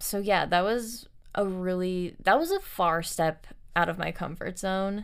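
At a fairly slow pace, the speaker uses fairly even intonation with an American accent. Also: woman. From Los Angeles, US. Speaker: singer-songwriter. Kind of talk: casual interview. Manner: relaxed, easygoing.

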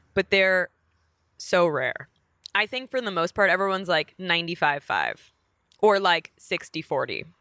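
A woman with an American accent speaks in a bright, sharp tone, with ordinary pitch variation and long, frequent pauses. The sound is dry and close, with no echo. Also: medium pitch for a woman, moderate pace. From New York, Queens (Bayside). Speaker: comedian and actress. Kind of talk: casual chat.

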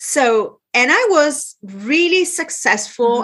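Speaking with an Italian accent, a woman uses lively intonation. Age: 60s. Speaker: business and lifestyle consultant. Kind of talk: interview.

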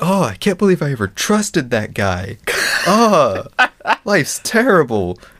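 The speaker uses a put-on character voice that sounds whiny. The pace is moderate. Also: man, high pitch for a man. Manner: whiny, mocking.

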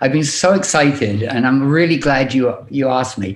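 With a British accent, a man talks at a moderate pace in a fairly high pitch. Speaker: music artist manager. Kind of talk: podcast interview. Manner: halting.

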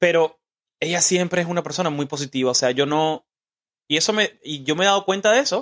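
In a plain, everyday voice, a man talks at a fairly quick pace with ordinary pitch variation, and the sound is dry and close with no echo. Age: 20s. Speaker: podcast host. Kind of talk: casual interview with his mother. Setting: home studio.

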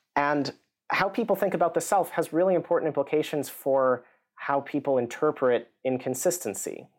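In a very clean recording with a silent background, a man with an American accent speaks in a normal speaking voice at a fairly high pitch. His pace is moderate, his pitch variation ordinary, and his loudness very even. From US. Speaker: psychology professor. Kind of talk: interview.

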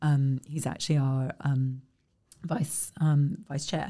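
In a southern English accent, a woman speaks at a fairly slow pace with a dark, mellow tone. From South East England (Kent). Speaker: arts organization leader. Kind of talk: interview.

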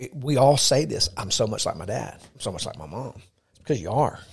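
A man speaks in a somewhat breathy voice. The recording is very clean, with a silent background. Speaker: podcast co-host, church leader. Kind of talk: casual faith discussion. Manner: animated.

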